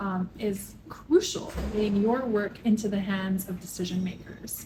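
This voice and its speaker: A woman with a Canadian accent speaks at a fairly high pitch in a dark, mellow, somewhat breathy tone with fairly even intonation. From Canada. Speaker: public health professor. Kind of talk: interview.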